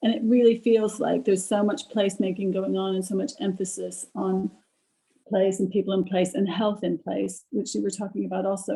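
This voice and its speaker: Speaking in an American accent, a woman with a dark, mellow tone and vocal fry talks at a fairly quick pace with ordinary pitch variation. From United States. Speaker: audience participant. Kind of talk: panel discussion comment. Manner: halting, self-correcting.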